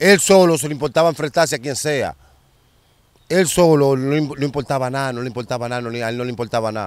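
A man talks at a very fast pace, his pitch fairly high with ordinary variation. The sound is dry with no echo, and the background is quiet. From Dominican Republic, Santo Domingo (Capotillo / Simón Bolívar); Dominican Republic. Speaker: former street figure telling stories; interviewee. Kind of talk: storytelling interview. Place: open country. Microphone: handheld.

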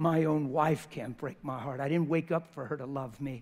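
A man with a fairly high pitch and ordinary pitch variation speaks at a moderate pace. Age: 50s. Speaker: preacher. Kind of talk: sermon. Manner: animated. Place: church.

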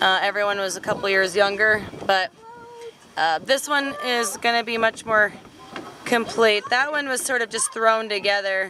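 At a moderate pace, the speech comes through with noticeable background noise and a dry sound with no echo. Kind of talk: casual vlog chat. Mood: relaxed, amused. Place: garden. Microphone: phone near.

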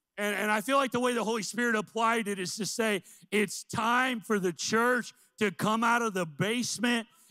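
In an American accent, a man uses a raised, projected voice with a high pitch and a bright, sharp, animated tone at a moderate pace against a quiet background. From US Midwest, central Illinois. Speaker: missions pastor. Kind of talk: sermon. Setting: church. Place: church. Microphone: handheld.

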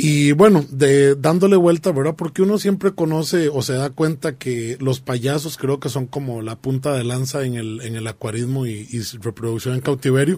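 A man speaks at a moderate pace with a Costa Rican accent, barely pausing, in a fairly high pitch with ordinary pitch variation. His tone is dark and mellow, and somewhat breathy. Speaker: aquarium hobbyist co-host. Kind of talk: radio talk show discussion. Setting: radio studio. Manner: halting, many fillers. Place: studio.

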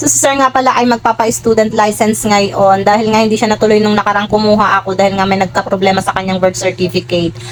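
Over background music, a woman talks at a very fast pace with hardly any pauses. Her loudness stays very even, her pitch is medium and varies in an ordinary way. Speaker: vlogger. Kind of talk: vlog voice-over narration. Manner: stumbling over words.

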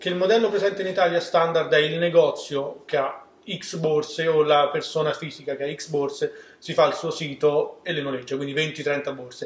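The speech comes at a moderate pace with fairly even intonation, set in audible room echo. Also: man, fairly high pitch for a man. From Rome, Italy. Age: 20s. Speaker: startup co-founder. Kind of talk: interview. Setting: studio. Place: studio. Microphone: camera far.

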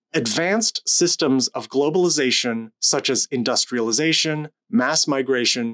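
A man speaks with lively intonation at a moderate pace. The background is quiet. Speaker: lecturer. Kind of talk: lecture. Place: home room. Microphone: studio mic.

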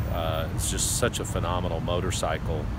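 Loud background noise surrounds a man as he speaks. The sound is dry, with no echo. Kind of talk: casual vlog chat. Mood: reflective, thoughtful. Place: street. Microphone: phone near.

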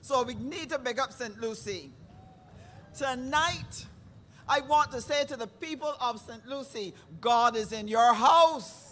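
A woman's high-pitched, fairly slow speech with long, frequent pauses, ordinary pitch variation and big swings in loudness. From Barbados. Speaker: rally emcee. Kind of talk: event hosting. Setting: stage with audience. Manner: animated.

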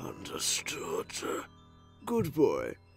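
Over clear background music, a man uses a cartoonish character voice at a very slow pace. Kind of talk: villainous dub acting. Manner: smooth, condescending, menacing.

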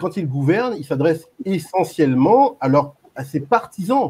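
Somewhat breathy, this man's voice has a dark, mellow tone and lively intonation. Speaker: YouTube channel creator, debate participant; guest, channel host. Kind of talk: online group debate. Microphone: microphone problem; video call.

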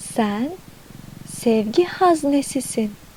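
The speech moves at a very slow pace with a calm, soothing tone. Pitch swings very widely, and background noise is noticeable. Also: woman. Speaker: affirmation narrator and channel owner. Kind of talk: guided affirmation / meditation narration. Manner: calm, soothing, slow.

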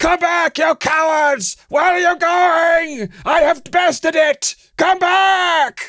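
A man shouting in a put-on character voice at an extremely high pitch, very slow pace and hardly any pauses. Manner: angry, shouting, contemptuous; malicious, mocking.

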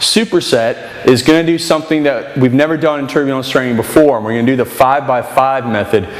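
A man with ordinary pitch variation, heard with audible room echo. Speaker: fitness trainer. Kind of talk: tutorial. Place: gym. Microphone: camera far.

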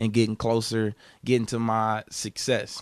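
A man talks at a moderate pace. The sound is dry with no echo, over a quiet background. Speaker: interviewee. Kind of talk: interview answer. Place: home room. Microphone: handheld.

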